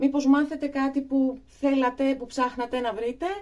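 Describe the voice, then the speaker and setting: At a fairly slow pace, a woman speaks with a high pitch and a dark, mellow tone. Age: 40s. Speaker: beauty vlogger. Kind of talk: tutorial. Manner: hesitant, many fillers.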